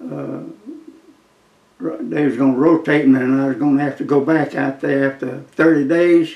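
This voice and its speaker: A man with a South Carolina accent speaks with fairly even intonation and long, frequent pauses. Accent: Southern US (South Carolina). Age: 90s. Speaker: war veteran. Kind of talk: interview storytelling. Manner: halting.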